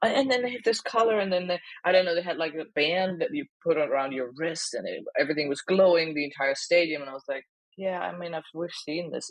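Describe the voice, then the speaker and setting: Someone with a German accent talks at a fairly quick pace. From Germany. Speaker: comedian. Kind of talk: casual chat.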